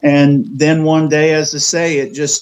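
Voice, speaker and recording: A man talks with an American accent. His intonation is fairly even. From West Virginia, Jefferson County. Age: 60s. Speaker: cemetery tour guide and local historian. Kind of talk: podcast interview storytelling. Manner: hesitant with fillers.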